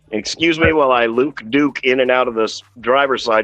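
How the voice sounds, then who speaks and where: A man's voice against noticeable background noise. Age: 50s. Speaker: auto body painter and toy collector streamer. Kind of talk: casual chat.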